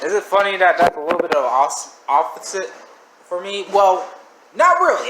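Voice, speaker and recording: The pitch swings very widely against noticeable background noise. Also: man. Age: 20s. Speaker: reaction video creator. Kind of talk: casual commentary. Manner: stuttering; rambling, animated.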